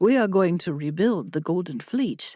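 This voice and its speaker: A woman puts on a character voice at a medium pitch. The recording is very clean, with a silent background. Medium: read story. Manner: commanding, confident.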